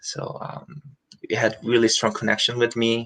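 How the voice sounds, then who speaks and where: A man speaks with a Korean accent. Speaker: musical theatre performer. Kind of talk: interview. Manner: halting.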